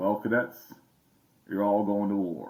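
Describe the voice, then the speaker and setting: A man's put-on character voice, gravelly and fairly low, fairly slow and monotone in its flat intonation. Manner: gruff, stern.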